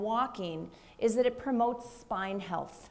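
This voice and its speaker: In a Minnesota accent, a woman speaks with a high pitch and lively intonation. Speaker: physician. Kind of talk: panel discussion.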